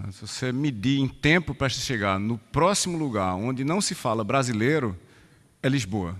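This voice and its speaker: A man in a Pernambuco accent, medium in pitch, with lively intonation at a moderate pace against a quiet background. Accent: Pernambuco Brazilian Portuguese. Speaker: professor. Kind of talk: conference talk. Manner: hesitant, with fillers.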